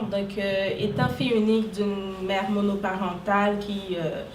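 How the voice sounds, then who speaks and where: A fairly slow, medium-pitched woman's voice, with noticeable background noise and audible room echo. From Haiti. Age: 20s. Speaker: social worker and entrepreneur. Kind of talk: interview. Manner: hesitant, many fillers.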